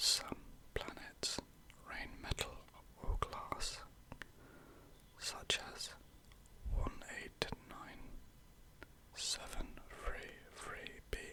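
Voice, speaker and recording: A man whispers at a very slow pace with long, frequent pauses over noticeable background noise. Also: big swings in loudness. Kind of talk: ASMR whispered fact narration. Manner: whispered, slow, calming.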